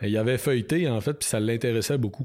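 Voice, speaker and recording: With a Quebec accent, a man speaks at a medium pitch and a fairly quick pace. His tone is dark and mellow, with ordinary pitch variation. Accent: Québécois French. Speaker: biologist and author. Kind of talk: interview.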